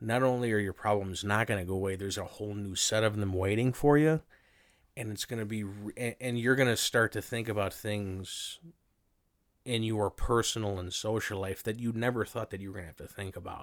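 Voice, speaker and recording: Fairly quick and fairly low in pitch, a man speaks in a normal speaking voice with fairly even intonation on a very clean recording with a silent background. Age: 30s. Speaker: returning podcast guest. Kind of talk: casual chat.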